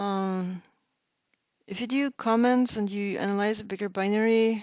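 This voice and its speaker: A woman talks at a moderate pace with a non-native accent. Her pitch sits in the medium range, and her intonation stays fairly even. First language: not English. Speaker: reverse engineering instructor. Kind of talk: tutorial. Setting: live stream. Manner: casual, hesitant with fillers.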